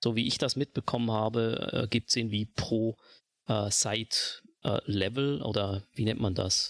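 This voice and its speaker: A man's normal speaking voice at a medium pitch, fairly slow and fairly even in intonation, with very even loudness and a dry, close sound with no echo. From Switzerland. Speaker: video game player, podcast guest. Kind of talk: casual chat.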